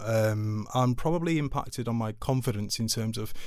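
With a Mancunian accent, a man speaks using ordinary pitch variation. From Manchester, England (Altrincham). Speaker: charity chief executive. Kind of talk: interview.

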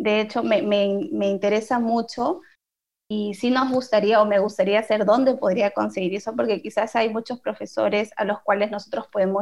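With some vocal fry, a woman talks at a fairly quick pace in a medium pitch. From Peru. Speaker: podcast co-host. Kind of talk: casual interview.

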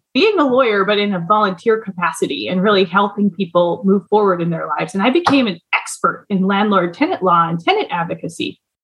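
Speaking very fast with hardly any pauses, a woman in an Upper Midwest accent uses a medium pitch and ordinary pitch variation. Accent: Upper Midwest American. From US Midwest, Duluth, Minnesota. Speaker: lawyer and business owner. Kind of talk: interview.

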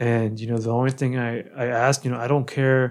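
In an ordinary speaking voice with an American accent, a man speaks at a moderate pace in a medium pitch with fairly even intonation. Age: 30s. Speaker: podcast host. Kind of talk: casual interview.

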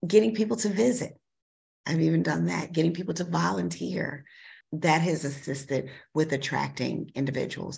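A woman speaks with vocal fry in a very deep, low voice, her pitch swinging very widely. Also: moderate pace. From Chicago. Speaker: school superintendent. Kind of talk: interview.

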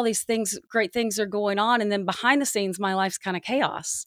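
A woman with an American accent speaks in a plain, everyday voice at a medium pitch, moderate pace and fairly even intonation. The sound is dry and close with no echo, and the recording is very clean with a silent background. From US South. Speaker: sports journalist and podcast host. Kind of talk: casual chat.

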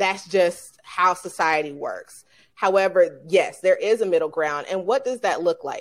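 With an American accent and a plain, everyday voice, a woman speaks at a fairly slow pace, her medium pitch showing ordinary variation. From Atlanta, Georgia, US. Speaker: leadership coach. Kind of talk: interview.

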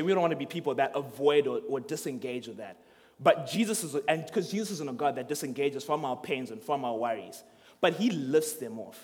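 Talking at a very fast pace, a man with a fairly high pitch uses lively intonation and big swings in loudness. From Zimbabwe. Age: 20s. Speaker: student ministry speaker. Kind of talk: sermon.

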